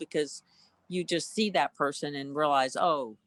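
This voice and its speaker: A woman at a moderate pace with an American accent. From US South, Tennessee (near Memphis). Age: 60s. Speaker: cellist and composer. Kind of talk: interview. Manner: hesitant, many fillers.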